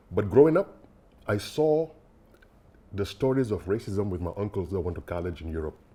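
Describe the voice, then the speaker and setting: A man speaks fairly quickly in a fairly low, dark, mellow voice that is somewhat breathy. His pitch swings very widely, broken by long, frequent pauses. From Senegal, Dakar. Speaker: bitcoin developer. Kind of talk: interview. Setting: podcast. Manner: hesitant, many fillers.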